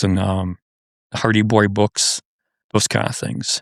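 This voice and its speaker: Recorded very cleanly against a silent background, a man with an American accent and vocal fry talks at a moderate pace, his pitch fairly low and intonation fairly even. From Wisconsin, Madison. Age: 70s. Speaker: outdoor writer. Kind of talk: casual interview chat. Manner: halting, many repeated words.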